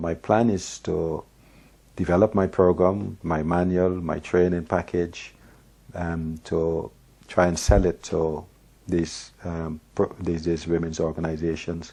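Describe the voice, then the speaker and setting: A man with a very deep, low pitch and a dark, mellow tone, monotone and flat, against a quiet background. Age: 60s. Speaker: domestic violence trainer and author. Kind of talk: personal testimony to camera. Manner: halting, many fillers.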